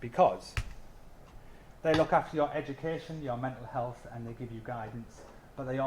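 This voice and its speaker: A man with a North East England accent speaks at a medium pitch. His voice is somewhat breathy. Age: 30s. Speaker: mature anthropology student. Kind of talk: open day student talk. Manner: hesitant, many fillers.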